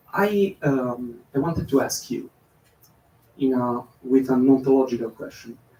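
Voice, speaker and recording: Speaking at a fairly slow pace with a non-native accent, this voice has a dark, mellow tone, ordinary pitch variation, and long, frequent pauses. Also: man, medium pitch for a man. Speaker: audience member asking question. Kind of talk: audience question. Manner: halting.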